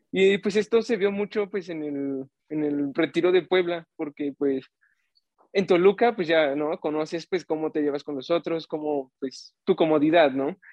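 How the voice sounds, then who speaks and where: Here a man talks in a normal speaking voice, fairly high in pitch. His pace is fairly slow, with ordinary pitch variation. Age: 20s. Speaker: youth ministry volunteer. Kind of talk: casual chat.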